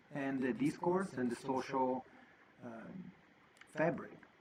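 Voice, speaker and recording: Over noticeable background noise, a man with an Italian accent and fairly high pitch speaks at a fairly slow pace. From Italy. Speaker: podcast host. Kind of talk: monologue podcast talk.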